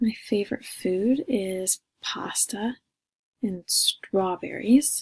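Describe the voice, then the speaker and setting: Somewhat breathy and fairly high in pitch, a woman speaks at a very slow pace in a dry, close sound with no echo. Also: ordinary pitch variation. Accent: American. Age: 20s. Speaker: college student. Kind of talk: self-introduction recording.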